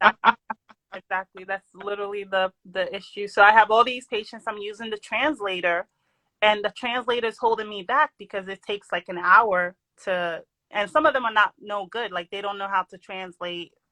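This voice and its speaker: A woman speaks at a medium pitch in a bright, sharp tone, her loudness swinging widely. The sound is dry and close with no echo, on a very clean recording with a silent background. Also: ordinary pitch variation, moderate pace. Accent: New York. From New York. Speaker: doctor. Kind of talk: casual chat. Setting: live stream. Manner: lively.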